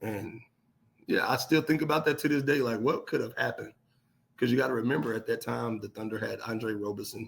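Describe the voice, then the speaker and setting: A man's voice with vocal fry and ordinary pitch variation, at a very fast pace. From Oklahoma City. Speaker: professional basketball player. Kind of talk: podcast interview. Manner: animated.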